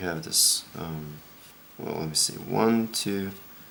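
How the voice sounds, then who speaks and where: Over noticeable background noise, a man talks at a fairly slow pace in a very deep, low pitch. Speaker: origami tutorial maker. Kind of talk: tutorial. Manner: monotone; quiet, soft-spoken.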